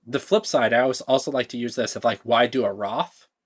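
A man's ordinary speaking voice with lively intonation at a moderate pace, dry and close with no echo on a very clean recording with a silent background. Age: 30s. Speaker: climate investing startup founder. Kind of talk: podcast interview.

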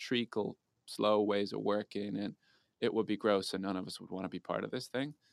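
A man speaks at a fairly quick pace in an Irish accent. The sound is dry and close, with no echo. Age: 30s. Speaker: tech startup co-founder. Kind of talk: casual interview. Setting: call.

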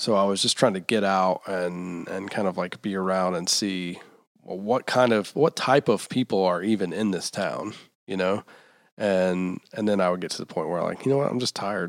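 A man talks at a moderate speed in a very clean recording with a silent background. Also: ordinary pitch variation. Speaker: podcast host. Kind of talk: casual interview. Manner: high energy.

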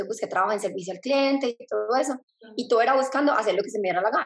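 Speaking at a very fast pace, a woman shows ordinary pitch variation. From Colombia, Medellín. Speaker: speaker and mentor. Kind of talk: interview.

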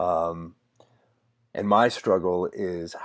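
Over a quiet background, a man speaks with fairly even intonation in a very deep, low pitch. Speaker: podcast interviewer. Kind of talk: casual interview. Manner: hesitant, filler-heavy.

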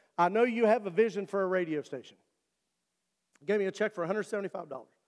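A man with an Appalachian accent is heard on a very clean recording with a silent background and a dry, close sound with no echo. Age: 50s. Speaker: pastor. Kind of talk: sermon. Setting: church.

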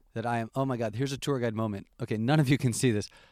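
In a very clean recording with a silent background, a man talks with a New York State accent. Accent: American (New York State). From US Northeast (Albany, New York). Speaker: tour guide. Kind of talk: casual chat.

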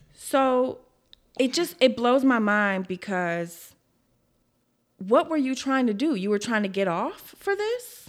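Speaking very slowly with long, frequent pauses, a woman with a high voice and a Southern US accent lets her pitch swing very widely. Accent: Southern US, country. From Memphis, Tennessee. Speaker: podcast co-host. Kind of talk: true crime storytelling; scripted outro reading. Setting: studio.

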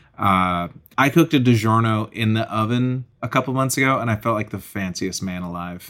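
At a fairly quick pace, a man with an American accent speaks in a normal speaking voice, medium in pitch with ordinary pitch variation. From Massachusetts (Acton, near Boston). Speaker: stand-up comedian. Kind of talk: casual chat.

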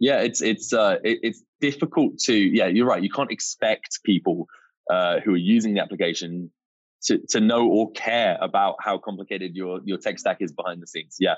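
A man speaks with a British accent. His pace is moderate. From UK. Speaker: startup co-founder and CEO. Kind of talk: casual interview chat.

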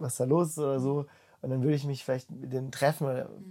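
The speaker talks at a fairly quick pace. The tone is dark and mellow. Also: man. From Baden, southwest Germany (Freiburg). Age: 20s. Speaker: bible school leader. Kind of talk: casual interview. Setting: in person, face to face. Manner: animated, colloquial with many fillers.

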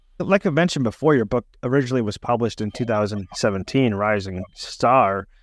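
A man's unremarkable speaking voice, medium in pitch, at a moderate pace with hardly any pauses and ordinary pitch variation. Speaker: podcast host. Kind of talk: interview.

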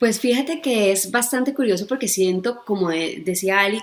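A woman talks at a moderate pace and medium pitch in an ordinary speaking voice. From Colombia. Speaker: gynecologist. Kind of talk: expert explanation in interview.

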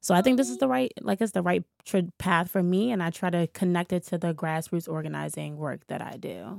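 A woman with an American accent and a plain, everyday voice, fairly low-pitched and fairly quick, in a very clean, dry, close recording with a silent background and no echo. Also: lively intonation, hardly any pauses. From Washington, D.C. (Shaw neighborhood). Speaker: community activist and youth mentor. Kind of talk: casual interview. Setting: studio.

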